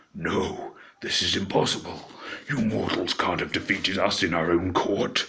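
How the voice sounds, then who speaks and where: A put-on character voice at a moderate pace. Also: man, fairly low pitch for a man. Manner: dark, creepy, menacing.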